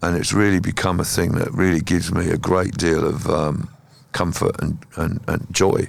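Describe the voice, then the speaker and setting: A man's very deep, low pitch with ordinary pitch variation. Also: moderate pace. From southern England (Kent). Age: 60s. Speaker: musician. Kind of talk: interview conversation.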